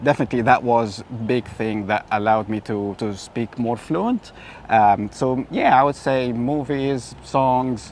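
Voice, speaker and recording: A man with an Arabic accent at a medium pitch, speaking at a fairly slow pace with fairly even intonation. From Egypt. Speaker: tour guide. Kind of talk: interview. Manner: many filler sounds.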